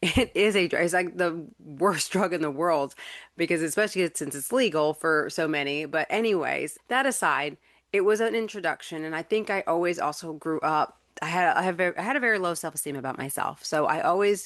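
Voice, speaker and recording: Against a quiet background, a woman with an American accent speaks at a fairly quick pace, using a fairly low pitch and ordinary pitch variation. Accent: slight country. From North Carolina. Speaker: podcast host, life coach. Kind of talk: personal testimony. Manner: casual, halting with repetitions.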